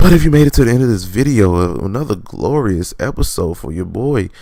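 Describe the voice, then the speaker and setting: A dark, mellow tone with very wide pitch swings. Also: man. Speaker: podcast host. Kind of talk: solo podcast outro monologue. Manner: casual, animated.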